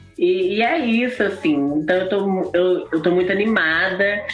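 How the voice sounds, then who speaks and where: A woman speaks at a moderate pace over noticeable background noise, with audible room echo. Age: 20s. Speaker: drag queen and singer. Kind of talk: live interview.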